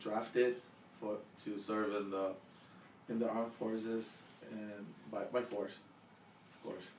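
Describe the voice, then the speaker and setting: Speaking very slowly, a man keeps a fairly low pitch and monotone, flat intonation, with long, frequent pauses. Noticeable background noise and audible room echo surround him. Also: big swings in loudness. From El Salvador. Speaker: interviewee, immigrant. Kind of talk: casual interview. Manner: halting with fillers.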